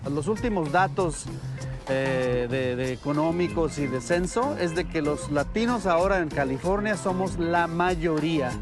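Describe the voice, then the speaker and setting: A man with a fairly high pitch and lively intonation, at a fairly slow pace with very even loudness, music in the background. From Veracruz, Mexico. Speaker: radio journalist and broadcaster. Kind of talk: interview answer.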